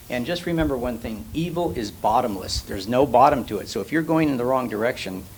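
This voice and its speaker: A man at a medium pitch, very fast and lively in intonation, with hardly any pauses and noticeable background noise. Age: 60s. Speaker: church attendee. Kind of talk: group discussion. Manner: halting.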